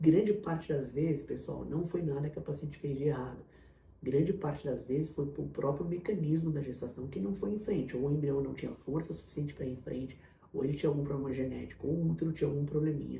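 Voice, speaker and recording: Amid audible room echo, a man with vocal fry and a dark, mellow tone speaks at a very fast pace, at a fairly high pitch with ordinary pitch variation. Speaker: fertility doctor. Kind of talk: Q&A video answering viewer questions.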